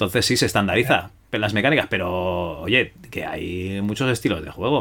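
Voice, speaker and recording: A man's fairly low-pitched voice with a bright, sharp tone. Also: ordinary pitch variation, moderate pace, hardly any pauses. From Spain, Barcelona. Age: middle-aged. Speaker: podcast host. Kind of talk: interview.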